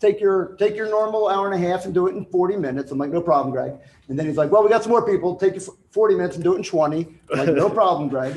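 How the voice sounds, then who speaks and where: Over noticeable background noise, a man talks very fast in a high pitch. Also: ordinary pitch variation. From New Jersey, Italian-American. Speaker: retired police officer, speaker on crisis services. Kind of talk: conference talk.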